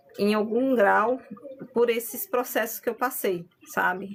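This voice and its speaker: A woman uses a normal speaking voice, fairly high in pitch. She talks at a moderate pace with fairly even intonation. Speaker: spiritual medium and content creator. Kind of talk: live stream talk on spirituality. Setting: live stream.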